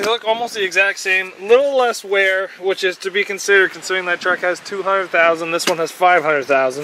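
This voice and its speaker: Raised and projected, a man's voice sits high in pitch and moves at a fairly quick pace with ordinary pitch variation. Noticeable background noise runs under it. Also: hardly any pauses. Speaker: car mechanic vlogger. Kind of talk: casual tutorial walkthrough.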